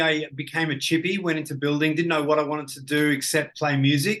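A man with an Australian accent, bright and sharp in tone, at a fairly quick pace. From Australia, Ballarat (country Victoria). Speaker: business coach and entrepreneur. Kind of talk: casual interview.

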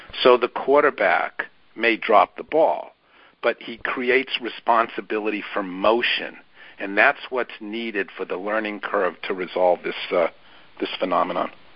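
A man uses an ordinary speaking voice at medium pitch, moderate pace and ordinary pitch variation. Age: 60s. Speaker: therapist and author. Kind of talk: interview.

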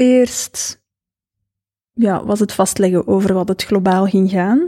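With a Flemish accent, a woman speaks in a medium pitch and a dark, mellow tone, with ordinary pitch variation, very even loudness, long, frequent pauses, and a dry, close sound with no echo. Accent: Flemish Dutch. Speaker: author and business owner. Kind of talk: casual chat.

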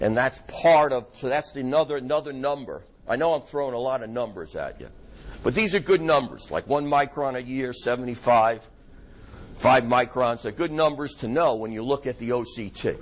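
A man talks in a New York accent. His medium pitch shows ordinary variation. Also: moderate pace. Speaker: optometrist lecturer. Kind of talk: lecture to a live audience. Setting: lecture hall with audience. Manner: informal, filler-heavy, conversational.

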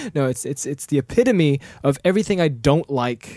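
Recorded with a dry, close sound and no echo, a man talks with ordinary pitch variation. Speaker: podcast co-host. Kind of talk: casual chat. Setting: studio. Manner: fast; loud.

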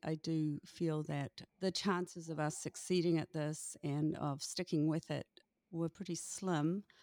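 On a very clean recording with a silent background, a woman speaks in a New Zealand accent. Her fairly low voice moves at a fairly slow pace, the sound dry and close with no echo. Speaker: author and former teacher. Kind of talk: casual interview.

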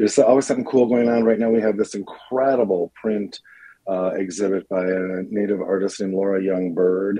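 A man with a plain, everyday voice talks at a fairly quick pace, his pitch fairly low and his intonation fairly even. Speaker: nonprofit CEO. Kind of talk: interview.

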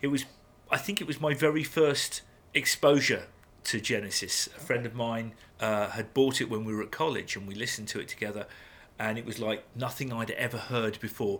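A man speaks at a medium pitch with an English accent. His pitch varies in an ordinary way, and his pace is fairly quick. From England. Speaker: podcast co-host. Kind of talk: casual chat.

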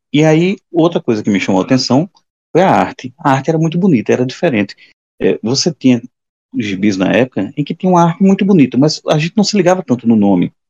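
A man at a fairly high pitch, very fast pace and very wide pitch swings, with a dark, mellow tone in a dry, close sound with no echo. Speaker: comic book podcast co-host. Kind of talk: casual chat.

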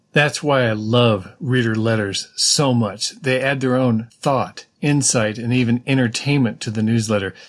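A man with an American accent speaks at medium pitch and a fairly slow pace, with hardly any pauses and fairly even intonation. The recording is very clean with a silent background. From California. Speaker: podcast host and newsletter writer. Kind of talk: podcast monologue reading a rant. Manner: emphatic.

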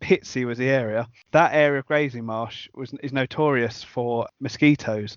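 A man with a British accent speaks with fairly even intonation. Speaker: podcast host. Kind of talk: casual interview chat.

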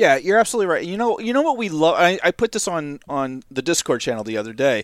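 In a dry, close recording with no echo, a man talks at a very fast pace with a high pitch and very wide pitch swings. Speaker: podcast co-creator. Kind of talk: casual interview chat.

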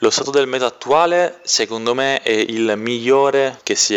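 At a moderate speed and with ordinary pitch variation, a man talks in a normal speaking voice. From Sicily, province of Trapani. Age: 20s. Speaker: competitive card game player. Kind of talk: interview answers.

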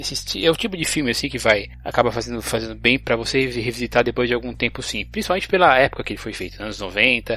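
A man rattles off his words at a very fast pace. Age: 30s. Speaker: podcast host. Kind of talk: casual chat. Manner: halting.

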